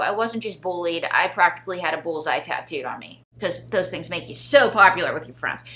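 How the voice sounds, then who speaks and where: A woman with a Pittsburgh accent and lively intonation, over noticeable background noise. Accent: Pittsburgh (yinzer). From Pittsburgh area, Pennsylvania. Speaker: ventriloquist. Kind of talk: interview, comedic storytelling. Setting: studio.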